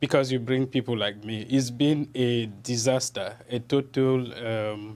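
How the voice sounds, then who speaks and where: In a Cameroonian accent, a man speaks at a medium pitch with monotone, flat intonation. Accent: non-American, Cameroonian. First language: French. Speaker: journalist. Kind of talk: TV interview. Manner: halting, repetitive.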